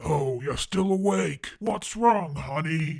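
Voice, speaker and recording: A man performs a cartoonish character voice, fairly high in pitch, with very wide pitch swings. He talks at a fairly slow pace. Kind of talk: bedtime story. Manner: warm, soothing.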